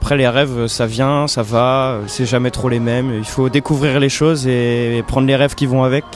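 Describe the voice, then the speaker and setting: A man's medium-pitched, monotone voice at a moderate pace, with hardly any pauses and music in the background. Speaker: musician and singer. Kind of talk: interview answer. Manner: hesitant, casual.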